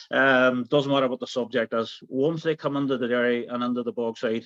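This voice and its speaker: A man with a strong Derry accent talks at a fairly quick pace and medium pitch in a monotone, flat delivery, dry and close with no echo, over a quiet background. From Northern Ireland, Derry. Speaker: tour guide. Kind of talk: interview. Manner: hesitant, repeats words.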